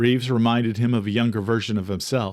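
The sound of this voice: Over a very clean recording with a silent background, a man talks at a fairly quick pace. His slightly mellow tone sits at a medium pitch with fairly even intonation.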